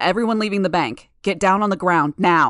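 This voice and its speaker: Over a quiet background, a female-sounding voice growls and bellows in a put-on character voice at middle pitch and a moderate pace. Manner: bellowing.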